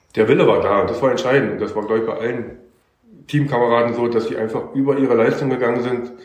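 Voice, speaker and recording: A man talking at a very fast pace, his intonation fairly even, with audible room echo. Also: medium pitch for a man. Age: 50s. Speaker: amateur footballer. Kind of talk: casual interview. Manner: casual, filler-heavy.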